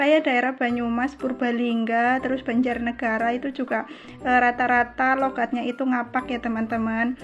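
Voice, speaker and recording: Music plays behind a woman with a high, monotone, flat voice. She keeps a moderate pace with hardly any pauses. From Central Java, Cilacap. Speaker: housewife vlogger. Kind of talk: casual vlog chat while cleaning. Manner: chatty, informal.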